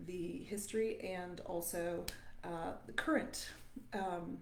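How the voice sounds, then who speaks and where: A woman with a southern Ontario accent speaks amid audible room echo. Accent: Southern Ontario Canadian. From Southern Ontario, Canada. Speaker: voice teacher. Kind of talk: live stream talk to viewers. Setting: live stream. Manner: halting, many fillers.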